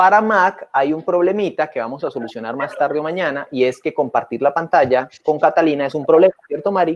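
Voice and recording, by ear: Against a quiet background, a man with a Colombian accent talks at a fairly quick pace with hardly any pauses, a fairly high pitch and ordinary pitch variation.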